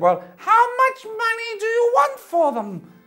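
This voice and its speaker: With faint music behind it, a squeaky put-on character voice moves at a fairly slow pace. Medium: read story. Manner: hesitant, halting with hums and uhs.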